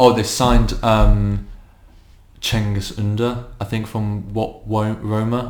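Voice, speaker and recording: A man with monotone, flat intonation. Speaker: football podcast co-host. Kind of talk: casual chat.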